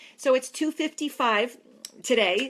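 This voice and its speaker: On a very clean recording with a silent background, a woman with an American accent speaks in an animated tone with ordinary pitch variation. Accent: New York, sometimes strong. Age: 40s. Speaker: fitness trainer. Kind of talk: facebook live talk. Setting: live video stream.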